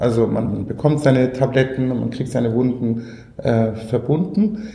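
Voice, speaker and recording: Speech at a moderate pace, with audible room echo and noticeable background noise. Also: man. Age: 40s. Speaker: social entrepreneur, company founder. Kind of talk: interview.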